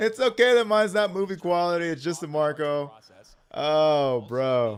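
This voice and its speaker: Speaking fairly slowly, the man has an American accent. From Texas. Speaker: card game streamer commentator. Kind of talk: live commentary. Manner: animated; loud.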